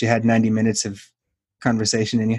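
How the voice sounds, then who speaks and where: A man's very fast, medium-pitched speech on a very clean recording with a silent background. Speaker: podcast host. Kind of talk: casual interview chat.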